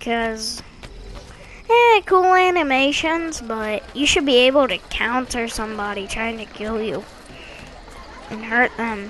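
The speech moves at a fairly slow pace with lively intonation and long, frequent pauses. Noticeable background noise runs underneath. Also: woman. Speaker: gaming youtuber. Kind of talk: gameplay review commentary. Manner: halting, with fillers.

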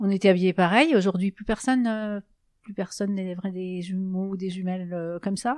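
At a fairly quick pace, a woman talks at a medium pitch with fairly even intonation and big swings in loudness. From Alsace, France (Mulhouse). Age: 60s. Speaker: bereaved twin sister. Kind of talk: testimony. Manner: hesitant, many fillers.

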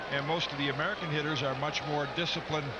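The speech comes at a very fast pace. Loud background noise runs underneath it. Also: man. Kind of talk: live sports commentary, analysis between pitches.

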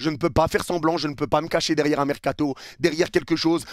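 A furious man at a fairly high pitch, against a quiet background. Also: dry sound with no echo. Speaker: football youtuber and match commentator. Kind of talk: angry rant, post-match video debrief. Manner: furious, heated, venting; emphatic, repetitive, insistent. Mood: frustrated, angry, disappointed. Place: home room. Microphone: headset.

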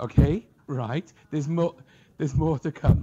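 A man speaks with a Welsh accent at a moderate pace, his voice somewhat breathy. His intonation is lively, and the background is quiet. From Wales. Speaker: professor. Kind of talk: lecture. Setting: stage with audience.

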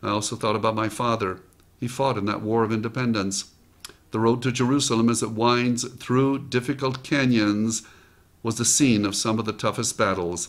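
Speaking at a moderate pace, a man uses a medium pitch. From United States. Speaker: motivational speaker. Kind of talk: motivational talk with personal story. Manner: enthusiastic. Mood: reflective, earnest storytelling. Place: home room. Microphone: studio mic.

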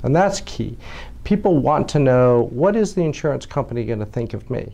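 A dark, mellow tone at a fairly quick pace. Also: man. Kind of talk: interview answer. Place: office. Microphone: lapel.

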